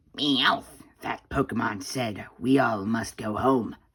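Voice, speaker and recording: In a put-on character voice, the speaker talks at a fairly slow pace with a low, raspy pitch. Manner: cartoonish, comic.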